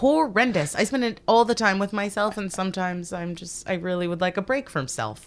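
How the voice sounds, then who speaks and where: A woman with a Canadian accent speaks in an unremarkable speaking voice at medium pitch. Her intonation is lively, with hardly any pauses. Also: fairly quick pace. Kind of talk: casual chat.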